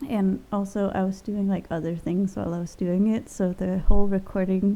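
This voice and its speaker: A woman's medium-pitched voice has a dark, mellow tone and ordinary pitch variation. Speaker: gaming youtuber. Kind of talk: voiceover commentary on a game build. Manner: rambling with fillers.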